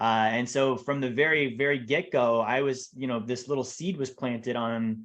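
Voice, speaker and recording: A man with a plain, everyday voice, medium in pitch, at a moderate pace with hardly any pauses. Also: fairly even intonation. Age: 30s. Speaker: financial advisor. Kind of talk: podcast interview.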